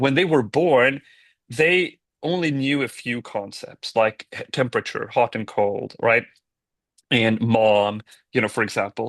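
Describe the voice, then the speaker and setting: A man speaks at a fairly slow pace with a Swedish accent against a quiet background. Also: medium pitch for a man, ordinary pitch variation, dry, close sound with no echo. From Sweden. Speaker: tech company founder and CEO. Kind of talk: podcast interview.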